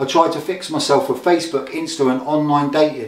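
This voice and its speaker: Very fast speech comes from a man with a fairly high pitch, with noticeable background noise throughout. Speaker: recovering addict, spoken word poet. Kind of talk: spoken word poetry performance.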